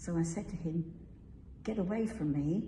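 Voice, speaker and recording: A woman's fairly low voice at a fairly slow pace, with ordinary pitch variation and audible room echo. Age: 80s+. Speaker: church member sharing testimony. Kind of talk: testimony.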